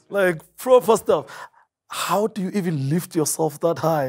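Loudness swings widely while pitch varies in an ordinary way, delivered at a moderate pace over a quiet background. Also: man. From South Africa. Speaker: TV talk show host. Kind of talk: TV interview. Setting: studio. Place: studio. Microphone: lapel.

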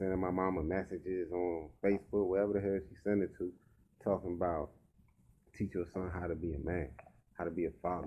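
With light background noise behind him, a man talks at a fairly quick pace in a very deep, low voice with monotone, flat intonation. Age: 30s. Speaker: rapper and vlogger; vlogger. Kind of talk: casual vlog monologue. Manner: casual and conversational. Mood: reflective, relaxed. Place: home room. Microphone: webcam.

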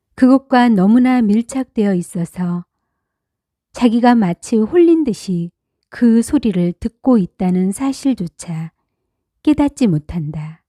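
A woman's fairly high, somewhat breathy voice, calm with a dark, mellow tone and very wide pitch swings, at a very slow pace, in a very clean recording with a silent background and a dry, close sound with no echo. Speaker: audiobook narrator. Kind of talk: reading aloud.

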